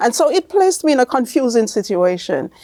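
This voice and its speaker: A woman's high voice with a Jamaican accent, very wide pitch swings and a dry, close sound with no echo. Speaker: author and speaker with albinism. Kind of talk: interview testimony. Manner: halting.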